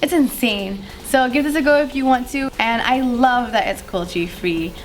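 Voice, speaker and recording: Noticeable background noise runs under the speech. The pace is moderate, and the pitch swings very widely. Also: woman. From Malaysia. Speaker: beauty youtuber. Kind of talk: casual talk to camera.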